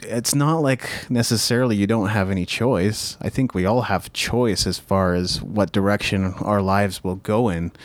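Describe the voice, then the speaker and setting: An unremarkable speaking voice: a man at fairly low pitch talks fairly slowly, with very even loudness and ordinary pitch variation. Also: very clean recording, silent background. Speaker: podcast host; musician. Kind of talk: casual podcast conversation.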